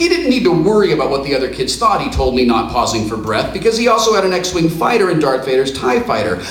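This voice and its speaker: Over noticeable background noise, a man with a high voice talks very fast with hardly any pauses and very wide pitch swings. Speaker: performer reading his own memoir story on stage. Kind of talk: dramatic reading, live comedic storytelling. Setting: live stage show in front of an audience.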